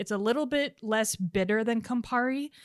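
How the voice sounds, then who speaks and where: A woman with a normal speaking voice, ordinary pitch variation, and a moderate pace, in a very clean recording with a silent background. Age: 30s. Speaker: podcast co-host and cocktail maker. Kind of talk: casual chat; tutorial.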